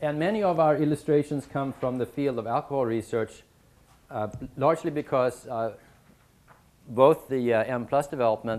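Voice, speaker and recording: At a moderate pace, a man speaks with a Swedish accent. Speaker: statistics professor teaching a short course. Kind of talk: lecture. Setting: university lecture room with audience. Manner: many fillers and hesitations.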